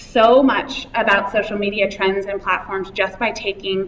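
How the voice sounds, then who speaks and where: A woman's medium-pitched voice, with audible room echo and noticeable background noise. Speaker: conference speaker on social media. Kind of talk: conference talk. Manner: fast.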